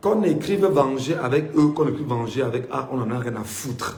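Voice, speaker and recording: A man with a fairly high voice speaks in an animated tone at a moderate pace, his intonation lively, with audible room echo. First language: Mbimba (Cameroonian language) (speaking French). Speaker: political commentator. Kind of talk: political monologue.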